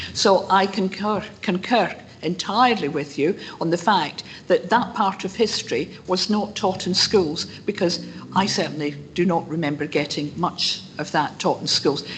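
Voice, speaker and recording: Speaking at a moderate pace, a woman is heard over noticeable background noise. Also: medium pitch for a woman, ordinary pitch variation. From Scotland, North Lanarkshire. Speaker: member of the public presenting a petition. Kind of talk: public meeting address.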